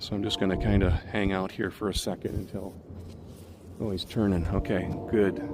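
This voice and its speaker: Over noticeable background noise, a man with a fairly low voice speaks in a flat monotone, leaving long, frequent pauses. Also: moderate pace. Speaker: nature vlogger. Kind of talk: outdoor vlog narration. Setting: outdoors by a river. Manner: quiet, hushed.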